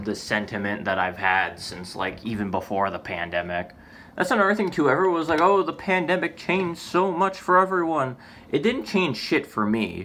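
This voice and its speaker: Speaking at a moderate pace, a man with a fairly high pitch uses a bright, sharp tone, vocal fry and very wide pitch swings. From United States. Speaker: vlogger. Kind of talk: casual vlog monologue. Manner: halting, many false starts and fillers.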